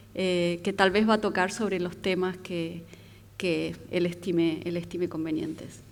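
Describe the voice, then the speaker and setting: A woman's fairly low, monotone voice with flat intonation, fairly slow, in audible room echo. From Argentina. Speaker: architect. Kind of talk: lecture.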